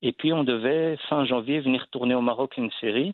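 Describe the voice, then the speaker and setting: The speaker is a man. The rise and fall of his pitch is ordinary. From Belgium. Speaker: actor and comedian. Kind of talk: interview. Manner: halting.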